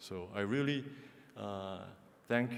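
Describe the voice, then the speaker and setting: With a Korean accent, a man speaks at medium pitch with fairly even intonation. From South Korea. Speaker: ambassador. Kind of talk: formal speech. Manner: halting, many fillers.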